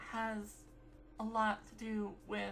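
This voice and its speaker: A woman's voice over music in the background. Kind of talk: casual talk to camera. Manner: rambly.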